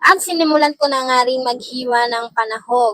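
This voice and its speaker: A woman speaks at a moderate pace in a high, bright, sharp voice with an animated tone, recorded dry and close with no echo. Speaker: cooking vlogger. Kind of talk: cooking vlog narration.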